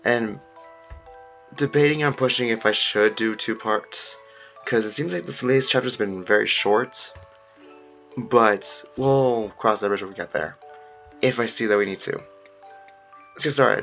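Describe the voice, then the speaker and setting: Music plays behind the speaker. A man talks with long, frequent pauses. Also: medium pitch for a man, ordinary pitch variation, moderate pace. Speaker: visual novel reader. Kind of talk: casual talk to camera.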